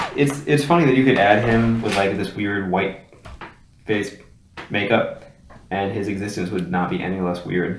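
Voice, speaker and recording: With an American accent and fairly low pitch, a man speaks at a moderate pace with ordinary pitch variation and long, frequent pauses, his voice carrying audible room echo. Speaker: movie review show co-host. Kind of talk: casual chat. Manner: animated.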